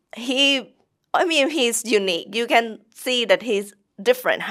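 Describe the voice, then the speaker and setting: A woman with a Thai accent and ordinary pitch variation on a very clean recording with a silent background. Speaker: English teacher. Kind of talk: interview. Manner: halting.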